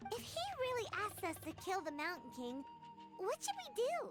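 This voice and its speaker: Over clear background music, a put-on character voice at an extremely high pitch moves at a moderate pace. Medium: video game. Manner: excitable, quick.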